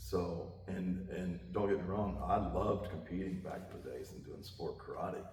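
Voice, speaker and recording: Moderate pace with hardly any pauses, ordinary pitch variation, big swings in loudness, audible room echo and noticeable background noise. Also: man, very deep, low pitch for a man. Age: 60s. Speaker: martial arts instructor. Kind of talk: interview. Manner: casual, conversational with many fillers.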